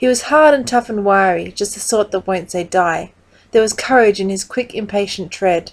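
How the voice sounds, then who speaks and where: With an Australian accent, a woman speaks at a moderate pace in a medium pitch, her pitch varying in an ordinary way. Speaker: poetry reader. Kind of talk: reading aloud.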